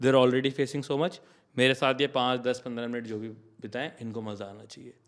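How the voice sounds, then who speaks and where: In a very clean recording with a silent background, a man with an ordinary speaking voice talks at a moderate pace, a medium pitch, and fairly even intonation. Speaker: comedian and content creator. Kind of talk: podcast interview. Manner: casual, code-switching Hindi-English.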